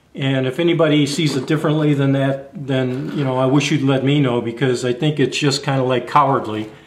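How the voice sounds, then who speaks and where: A man with a fairly high pitch, heard with audible room echo. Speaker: YouTube camping and gear vlogger. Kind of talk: casual monologue vlog. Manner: halting, stammers sometimes.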